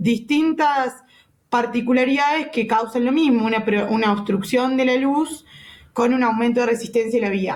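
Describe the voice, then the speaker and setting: Audible room echo surrounds a woman speaking at a moderate pace with a fairly high pitch and fairly even intonation. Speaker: physiotherapy lecturer. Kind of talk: lecture.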